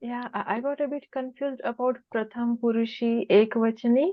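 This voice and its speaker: In a Marathi accent, a woman speaks at a high pitch and a fairly slow pace. Her intonation stays fairly even. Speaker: student. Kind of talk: class question.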